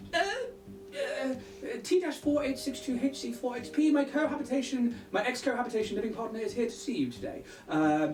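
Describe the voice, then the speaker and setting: Someone performs a put-on character voice at a fairly high pitch. The delivery runs at a fairly quick pace over clear background noise. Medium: actual play. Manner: hesitant, stammering, polite.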